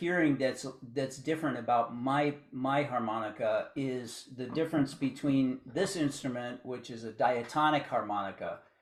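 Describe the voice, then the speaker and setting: A man's fairly high-pitched, normal speaking voice with ordinary pitch variation at a moderate pace. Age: 60s. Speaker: blues harmonica player. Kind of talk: interview.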